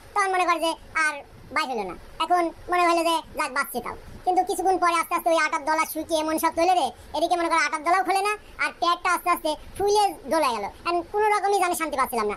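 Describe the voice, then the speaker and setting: A cartoonish character voice from a woman, extremely high in pitch and very fast, over clear background noise. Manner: chatty, colloquial storytelling.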